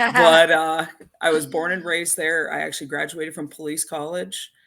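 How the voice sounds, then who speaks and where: Speaking at a moderate pace, a woman with a fairly low pitch has a bright, sharp tone, ordinary pitch variation and vocal fry. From Canada. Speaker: emergency dispatcher. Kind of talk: podcast interview.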